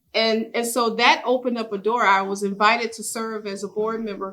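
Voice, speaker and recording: An ordinary speaking voice from a woman, fairly high in pitch, at a fairly quick pace. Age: 60s. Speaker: business owner and chamber board member. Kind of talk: workshop sharing.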